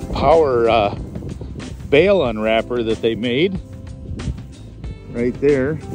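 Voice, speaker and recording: A man speaks at a very slow pace with long, frequent pauses and lively intonation. Clear music plays in the background, and the sound is dry with no echo. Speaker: auction manager. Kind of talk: auction preview walkthrough, casual talk to camera. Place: open country. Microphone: phone near.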